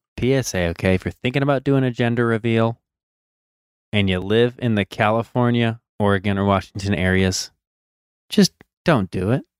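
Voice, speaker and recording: Long, frequent pauses mark the speech of a man at medium pitch, who talks at a moderate pace with ordinary pitch variation in a dry, close sound with no echo. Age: 30s. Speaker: motocross podcast co-host, amateur rider. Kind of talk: casual chat. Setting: home basement, video call.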